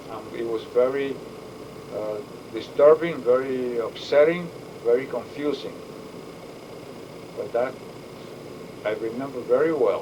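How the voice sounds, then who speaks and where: A man with a medium-pitched voice speaks at a fairly slow pace with long, frequent pauses, amid noticeable background noise and audible room echo. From Puerto Rico and Bronx, New York. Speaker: war veteran. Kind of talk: interview. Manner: halting.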